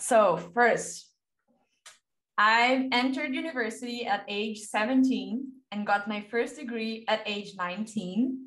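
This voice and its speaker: A woman with a Portuguese accent speaks at a fairly slow pace and fairly high pitch, with ordinary pitch variation and audible room echo. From Brazil, Juiz de Fora. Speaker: novelist and screenwriter. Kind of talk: reading aloud from notes. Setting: video call.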